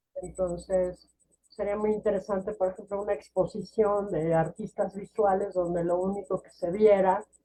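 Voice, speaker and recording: A woman with a Mexican accent speaks fairly slowly in a dark, mellow tone, her medium pitch flat and monotone while her loudness swings widely. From Mexico. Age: 60s. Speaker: poet and novelist. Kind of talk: interview conversation. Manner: hesitant, with many fillers and restarts.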